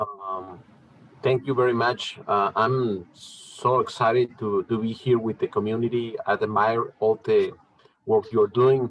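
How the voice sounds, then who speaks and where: A man's medium-pitched voice with a Mexican accent, fairly even intonation and a fairly slow pace. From Chihuahua, northern Mexico. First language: Spanish. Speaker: mezcal producer. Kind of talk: presentation at a tasting event. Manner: halting.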